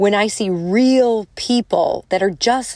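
A woman of medium pitch with a strong Chicago accent speaks in an animated tone, in a very clean recording with a silent background. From Chicago, US Midwest. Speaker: motivational speaker and podcast host. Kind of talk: solo podcast monologue. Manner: animated, casual, chatty.

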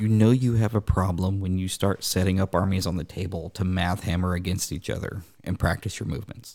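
A man with a very deep, low pitch speaks at a fairly quick pace with fairly even intonation and hardly any pauses. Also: very clean recording, silent background. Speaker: podcast host; school staff member and hobbyist. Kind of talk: casual chat.

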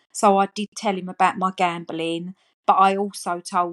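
Over a quiet background, a woman speaks in a fairly low pitch with an Essex accent. Her intonation is monotone and flat, in a dry, close sound with no echo. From Essex, England. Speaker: gambling harm support worker with lived experience. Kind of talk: personal testimony.

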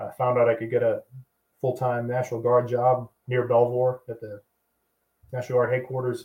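A man's medium-pitched, somewhat breathy voice, monotone and flat, at a moderate pace with long, frequent pauses and big swings in loudness. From Boston, US Northeast. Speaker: army veteran. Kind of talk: casual chat.

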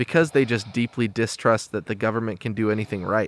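A man speaks in a plain, everyday voice at medium pitch with fairly even intonation. The very clean recording has a silent background and a dry, close sound with no echo. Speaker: podcast host. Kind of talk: casual interview chat.

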